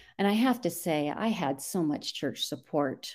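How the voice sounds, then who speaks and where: In a dark, mellow tone, a woman speaks at a fairly slow pace on a very clean recording with a silent background. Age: 60s. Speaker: churchgoer interviewee. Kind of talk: casual interview.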